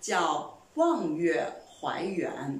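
A woman's voice rises and falls across a very wide pitch range, with audible echo from the room. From China. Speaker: language teacher; Mandarin teacher. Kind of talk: lecture.

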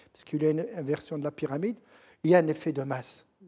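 A dark, mellow tone with ordinary pitch variation comes through against a quiet background. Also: man. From Morocco, southeast (Gourama, High Atlas); Morocco. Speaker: professor and researcher; professor. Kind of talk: TV interview. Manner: halting. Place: studio. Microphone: lapel.

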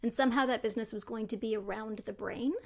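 A woman with a Canadian accent speaks at a fairly quick pace in a fairly high pitch. Her intonation stays fairly even, and the background is quiet. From Canada, Toronto. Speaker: neuroscientist and tech entrepreneur. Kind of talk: interview conversation. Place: home room. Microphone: studio mic.

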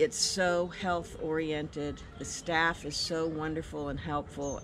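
A woman talks at a fairly slow pace with noticeable background noise. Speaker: guest. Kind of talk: testimonial interview answer. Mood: enthusiastic, grateful. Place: garden.

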